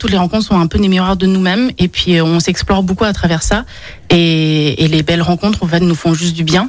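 A woman with an ordinary speaking voice, a medium pitch and a fairly quick pace. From born in China, raised with dual French-Chinese culture. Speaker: explorer and speaker. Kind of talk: radio interview. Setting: studio.

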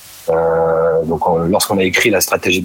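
A man's voice amid noticeable background noise. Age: 30s. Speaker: store manager. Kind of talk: interview. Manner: halting.

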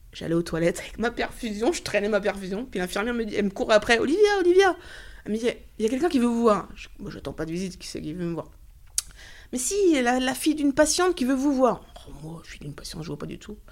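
Very fast and animated, a woman speaks at a fairly high pitch. Her pitch swings very widely. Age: 30s. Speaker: cancer patient. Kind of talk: testimony.

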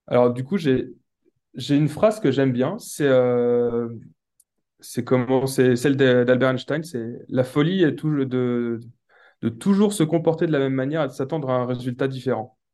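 A man's medium-pitched, dark, mellow voice at a fairly slow pace, with ordinary pitch variation and a quiet background. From Brittany, France. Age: 20s. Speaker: web developer and investor. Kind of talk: interview. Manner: halting, many fillers.

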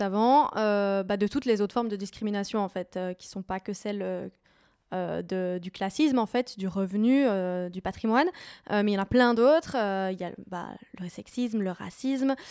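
In a very clean recording with a silent background and a dry, close sound with no echo, a woman speaks at a moderate pace and medium pitch with ordinary pitch variation in an ordinary speaking voice. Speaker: podcast host. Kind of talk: interview conversation. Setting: at guest's home.

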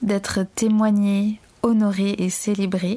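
This woman's voice sits at a medium pitch and is somewhat breathy. Her tone is dark and mellow. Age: 30s. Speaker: podcast host and doula in training. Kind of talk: solo podcast monologue. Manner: hesitant with filler sounds.

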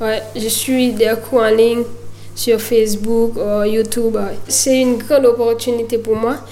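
With a Haitian accent, a woman speaks at a very slow pace in a high pitch and monotone, flat intonation, with noticeable background noise and audible room echo. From Haiti (Miragoâne). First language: Haitian Creole (speaking French). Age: 20s. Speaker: footballer. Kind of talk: interview. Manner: halting.

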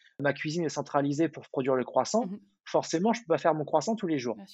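A man with lively intonation. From Paris region (Val-de-Marne), France. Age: 30s. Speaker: baker. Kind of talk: interview. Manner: halting, many fillers and repetitions.

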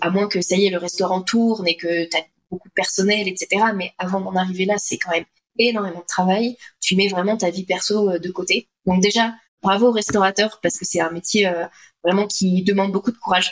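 This woman's medium pitch comes with monotone, flat intonation as she talks at a moderate pace. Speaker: health coach for entrepreneurs. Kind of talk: interview conversation. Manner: hesitant, many fillers.

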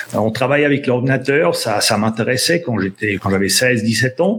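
This man's voice moves in very wide pitch swings. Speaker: sales trainer. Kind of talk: casual interview. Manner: hesitant, repeats words.

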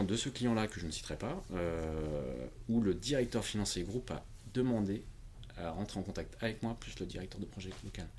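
An unremarkable speaking voice belongs to this man, who talks at a moderate pace with lively intonation. His loudness swings widely. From France, Portuguese family. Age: 40s. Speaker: independent IT consultant. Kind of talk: interview conversation.

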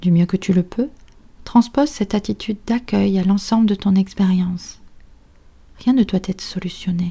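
A woman speaks in a calm, soothing, dark and mellow tone that is somewhat breathy, with ordinary pitch variation. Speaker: psychologist and meditation teacher. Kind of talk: guided meditation. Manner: slow, soft, calm and soothing, with long pauses; gentle, instructive, addressing listener as tu.

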